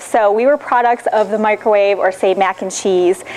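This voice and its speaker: A woman's fairly high voice with a Michigan accent, fairly quick in pace, over noticeable background noise. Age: 30s. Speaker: nutrition consultant. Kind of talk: lecture. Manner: fast.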